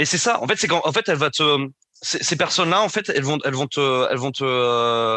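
Against a quiet background, a man speaks at a moderate pace in a bright, sharp tone with lively intonation, the sound dry and close with no echo. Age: 20s. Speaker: guest sharing personal story of abusive relationship. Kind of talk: personal testimony. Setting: remote recording. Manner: halting, with many repetitions and hesitations.

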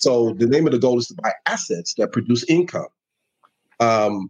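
The pitch is medium for this man. He talks at a moderate pace. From New York City (Bronx). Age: 50s. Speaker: financial advisor. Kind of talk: guest interview on finances. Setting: live online show.

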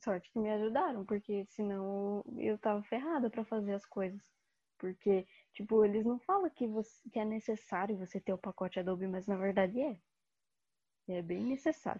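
A woman speaks at a moderate pace in a normal speaking voice. Her pitch is medium, with ordinary pitch variation. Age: 20s. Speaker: design student. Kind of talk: casual chat.

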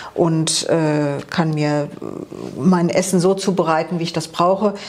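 Over noticeable background noise, a woman talks at a fairly slow pace in a monotone, flat delivery. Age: 50s. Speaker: office clerk, coaching client. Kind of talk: interview.

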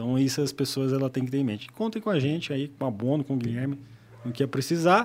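A man's fairly high voice at a very fast pace with ordinary pitch variation, in a very clean recording with a silent background. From Paraná, Brazil (Apucarana). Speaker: solar energy entrepreneur. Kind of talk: podcast interview.

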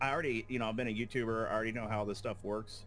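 Over music in the background, a man uses a raspy, put-on character voice at medium pitch and a very fast pace.

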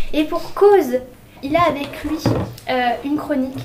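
A woman's fairly slow pace comes through noticeable background noise. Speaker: student radio host. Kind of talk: student radio show hosting. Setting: studio.

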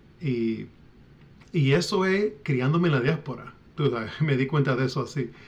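The voice is somewhat breathy, broken by long, frequent pauses. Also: man, fairly high pitch for a man, ordinary pitch variation, moderate pace. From Puerto Rican diaspora, US. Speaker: author and independence activist. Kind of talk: interview. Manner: halting, many fillers and repetitions.

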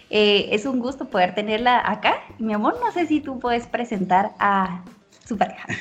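Noticeable background noise sits behind a woman who talks at a moderate pace in a fairly high voice with ordinary pitch variation. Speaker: podcast co-host. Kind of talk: casual chat.

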